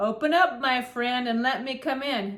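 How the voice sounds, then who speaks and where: A woman's put-on character voice, high in pitch. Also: moderate pace. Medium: read story. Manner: sly, menacing.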